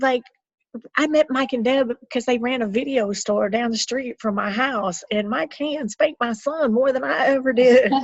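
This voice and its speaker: In a Southern US accent, a woman speaks at a high pitch and moderate pace with an animated tone and ordinary pitch variation, in a dry, close sound with no echo. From US South. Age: 50s. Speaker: health coach. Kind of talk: casual chat.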